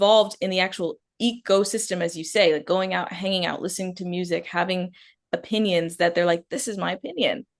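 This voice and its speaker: A woman has an unremarkable speaking voice at medium pitch. She talks at a fairly quick pace. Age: 20s. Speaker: interview moderator. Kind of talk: interview conversation.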